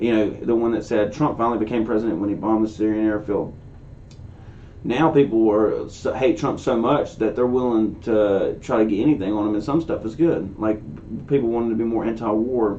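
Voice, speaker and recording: Audible room echo surrounds a man speaking at a fairly quick pace. His pitch is medium, with ordinary variation. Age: 20s. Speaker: political commentary youtuber. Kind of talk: casual commentary reacting to a video. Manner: casual, conversational.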